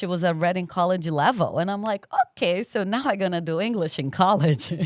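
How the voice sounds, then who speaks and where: Speaking fairly quickly with a Brazilian accent, a woman uses a fairly low pitch and ordinary pitch variation, with a dry, close sound with no echo in a very clean recording with a silent background. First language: Portuguese. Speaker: podcast guest. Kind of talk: interview conversation.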